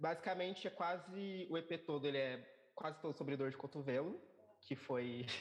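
In an unremarkable speaking voice, a man with fairly high pitch talks at a moderate pace, keeping his loudness very even and his pitch variation ordinary. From São Paulo periphery, Brazil. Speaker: musician. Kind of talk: interview.

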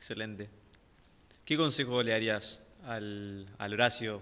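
With monotone, flat intonation, a man holds a medium pitch. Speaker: podcast host. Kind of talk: casual interview.

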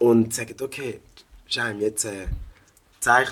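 At a fairly slow pace, a man speaks in an animated tone. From Switzerland (St. Gallen), African family. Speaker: rapper and music producer. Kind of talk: casual chat.

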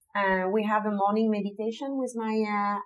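A woman speaks with a French accent at a fairly high pitch and moderate pace. Her intonation is fairly even, with music in the background. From southern France (Nîmes). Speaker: street artist and muralist. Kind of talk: casual interview. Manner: halting, many fillers.

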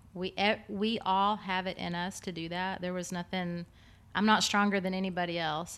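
In a Texan accent, a woman speaks at a medium pitch and a fairly slow pace with monotone, flat intonation. The recording is very clean with a silent background. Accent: Texan American. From Texas. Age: 40s. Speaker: fitness business owner and trainer. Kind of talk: casual interview.

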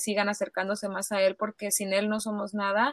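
A woman talks at a moderate pace in a fairly high pitch, the sound dry and close with no echo. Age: 30s. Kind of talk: casual interview. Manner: halting.

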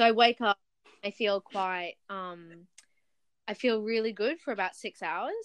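The speaker goes at a fairly slow pace with long, frequent pauses, ordinary pitch variation and big swings in loudness. The sound is dry and close with no echo, in a quiet background. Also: woman, fairly high pitch for a woman. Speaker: podcast host. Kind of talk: casual chat. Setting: video call.

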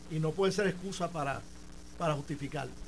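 This man's voice sits high in pitch. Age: 60s. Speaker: former Senate president and politician. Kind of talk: radio studio debate. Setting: radio studio.

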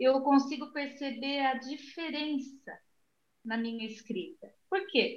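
At a very slow pace, a woman speaks high in pitch with lively intonation. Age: 60s. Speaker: retired library employee and author. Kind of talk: interview.

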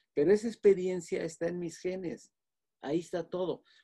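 A man speaks at a moderate pace. His tone is dark and mellow and somewhat breathy. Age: 80s+. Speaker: physician. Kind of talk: lecture-style explanation. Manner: halting, with frequent fillers.

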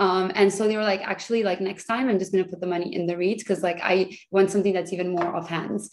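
Over noticeable background noise, a woman with a medium pitch talks at a very fast pace in a monotone, flat intonation. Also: hardly any pauses. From Brazil. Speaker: real estate investor. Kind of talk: interview.

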